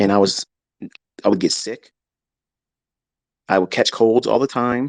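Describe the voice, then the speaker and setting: This man's pitch is medium, and his pace is moderate. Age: 50s. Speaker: trading educator streamer. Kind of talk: live stream monologue. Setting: home office. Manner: animated.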